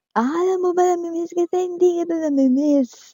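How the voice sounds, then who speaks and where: A squeaky, put-on character voice from a woman, extremely high in pitch, at a moderate pace. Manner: slurred, emotional, wobbly.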